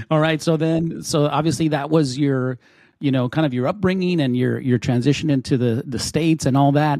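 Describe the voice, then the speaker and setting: A man with an American accent talks at a fairly quick pace in a fairly high pitch, his tone dark and mellow, his pitch varying in an ordinary way, on a very clean recording with a silent background. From Texas. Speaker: podcast host. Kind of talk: interview.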